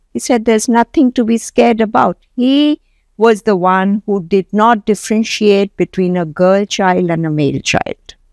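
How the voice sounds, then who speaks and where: A plain, everyday voice from a woman at medium pitch, moderately paced with lively intonation and very even loudness, in a dry, close sound with no echo. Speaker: entrepreneur. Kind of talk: interview.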